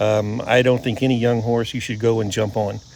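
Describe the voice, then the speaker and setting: Speaking fairly quickly with fairly even intonation, a man uses a normal speaking voice at a medium pitch. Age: 60s. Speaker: horse trainer. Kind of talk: casual chat.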